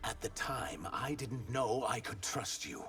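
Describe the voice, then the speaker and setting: A cartoonish character voice from a man at medium pitch, with clear background noise. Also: fairly slow pace. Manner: respectful, earnest.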